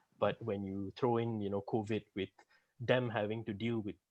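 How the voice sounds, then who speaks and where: A soft-spoken man with a fairly low pitch speaks at a moderate pace in a monotone, flat intonation. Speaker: junior auditor, accounting graduate. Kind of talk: interview.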